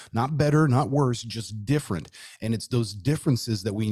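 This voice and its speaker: An American accent from a man with a somewhat breathy, dark, mellow tone, moderate pace and ordinary pitch variation, in a very clean recording with a silent background. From Southern California (Los Angeles area). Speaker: podcaster, tattooed chef. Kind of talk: casual chat.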